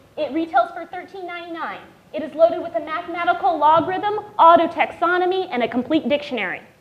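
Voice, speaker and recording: Over noticeable background noise, a woman speaks in an animated tone at a fairly quick pace. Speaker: patient advocate speaker. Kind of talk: panel talk. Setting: stage with audience. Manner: loud.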